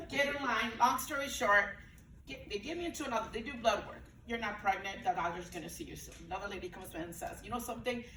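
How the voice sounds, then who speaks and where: Very fast, animated speech with lively intonation and big swings in loudness comes through audible room echo and noticeable background noise. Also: woman, fairly high pitch for a woman. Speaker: breastfeeding peer counselor. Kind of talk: panel talk, personal story. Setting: event room with audience, Zoom.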